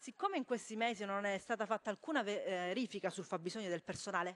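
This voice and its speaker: Delivered at a fairly quick pace, the speech has lively intonation. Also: woman. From Calabria, Tropea; Calabria. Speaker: member of parliament. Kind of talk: parliamentary speech. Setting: parliament chamber. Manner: halting, many fillers. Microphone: podium.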